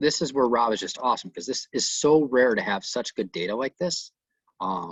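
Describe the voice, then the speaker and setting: A man's medium-pitched voice with lively intonation. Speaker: software trainer for realtors. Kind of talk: online tutorial class. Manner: fast.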